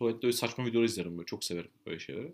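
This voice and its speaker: A man speaks very fast, his intonation lively. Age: 20s. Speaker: podcast co-host. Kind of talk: casual chat. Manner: coquettish, flirtatious way of talking; animated, laughing often.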